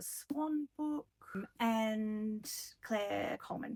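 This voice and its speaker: Very slowly and with an Australian accent, a woman speaks at a fairly high pitch with ordinary pitch variation, the sound dry and close with no echo. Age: 40s. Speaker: book vlogger. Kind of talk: casual chat. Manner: rambling with many ums.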